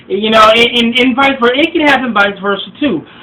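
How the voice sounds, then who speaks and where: A man talks with ordinary pitch variation while noticeable noise sits in the background. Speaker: relationship advice vlogger. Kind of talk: vlog monologue. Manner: halting, many fillers and repeats.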